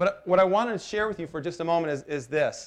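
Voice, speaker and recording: A man speaks with a high-pitched voice. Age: 40s. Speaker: pastor. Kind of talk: sermon. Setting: church.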